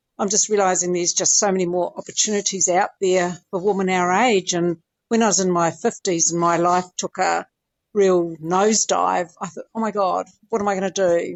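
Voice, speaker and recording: Here a woman speaks at medium pitch in a plain, everyday voice. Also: moderate pace. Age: 60s. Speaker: interview guest, older athlete. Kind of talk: casual interview.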